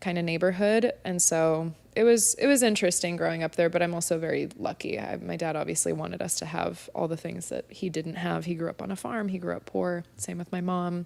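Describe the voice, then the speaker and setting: A woman speaks with a Californian accent at a fairly quick pace. She leaves hardly any pauses. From US West Coast, San Diego. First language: Spanish. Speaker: spin instructor, podcast guest. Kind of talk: casual interview chat.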